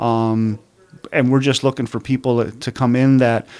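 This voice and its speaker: A man with an American accent, medium in pitch, at a fairly slow pace. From Upper Peninsula of Michigan, Calumet. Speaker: state police commander. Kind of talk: radio interview. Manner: hesitant, many fillers.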